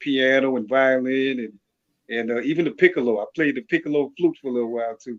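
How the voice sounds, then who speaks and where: A man with a slight Louisiana accent, medium pitch, ordinary pitch variation, and a fairly quick pace. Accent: faint Louisiana accent, speaks clearly. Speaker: music producer and artist. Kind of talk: interview.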